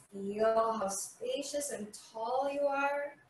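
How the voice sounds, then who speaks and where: High female voice with ordinary pitch variation, audible room echo and light background noise. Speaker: yoga instructor. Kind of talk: guided chair yoga class with spoken cues. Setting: video. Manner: calm, soothing, slow and gentle; instructional, leads with clear step-by-step cues. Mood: calm, soothing. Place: home room. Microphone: camera far.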